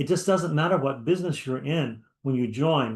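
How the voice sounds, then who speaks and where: In a plain, everyday voice, a man talks at a moderate pace with lively intonation. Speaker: business mastermind co-host. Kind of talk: sales pitch. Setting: livestream with chat.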